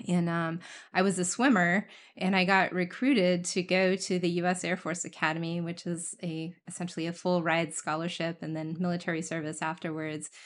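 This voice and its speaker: In an American accent, a woman with a fairly low pitch uses a normal speaking voice at a moderate pace, with fairly even intonation. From US Midwest (rural Indiana). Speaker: former military officer and engineer. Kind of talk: interview conversation.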